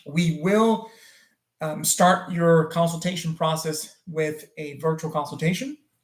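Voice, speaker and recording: Speaking in a French accent, a man uses a high pitch and fairly even intonation. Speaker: plastic surgeon. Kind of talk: live stream Q&A. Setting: live stream. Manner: frequent fillers and hesitations.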